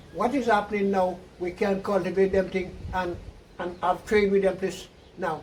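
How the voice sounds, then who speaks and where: A high-pitched man talks at a moderate pace in a monotone, flat intonation, with noticeable background noise behind him. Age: 80s+. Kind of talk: interview answer.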